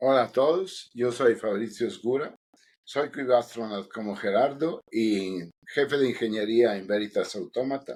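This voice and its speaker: In an Italian accent, a man speaks at a fairly slow pace. His pitch is medium, with ordinary variation. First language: Italian (speaking Spanish). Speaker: podcast co-host, engineering lead. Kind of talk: casual podcast chat.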